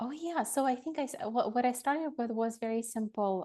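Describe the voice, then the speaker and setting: A woman with a Russian accent speaks in a dark, mellow tone with ordinary pitch variation over a quiet background. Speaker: lawyer and education consultant. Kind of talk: interview. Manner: halting, many fillers.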